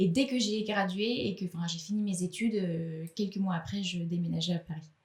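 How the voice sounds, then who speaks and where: Noticeable background noise sits under a woman speaking at a moderate pace in a medium pitch with ordinary pitch variation. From Switzerland. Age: 20s. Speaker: actress. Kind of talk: podcast interview.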